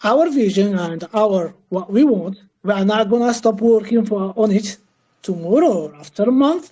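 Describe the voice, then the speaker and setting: A woman's dark, mellow voice at a fairly slow pace, with lively intonation. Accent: non-native. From Algeria. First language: not English. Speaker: crypto project team member. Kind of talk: Q&A interview. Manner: halting, many fillers.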